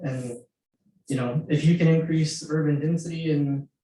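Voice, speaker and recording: A man with an American accent uses an ordinary speaking voice, fairly high in pitch and fairly even in intonation. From Houston suburbs, Texas. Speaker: committee member, resident. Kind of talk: public meeting discussion.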